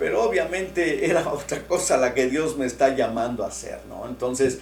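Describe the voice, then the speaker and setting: A man talks at a moderate pace with lively intonation, over noticeable background noise and audible room echo. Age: 60s. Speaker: pastor. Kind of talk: sermon. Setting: online church broadcast. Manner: conversational, with many fillers.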